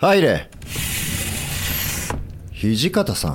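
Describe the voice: Putting on a character voice, a man speaks very slowly at a medium pitch with very wide pitch swings.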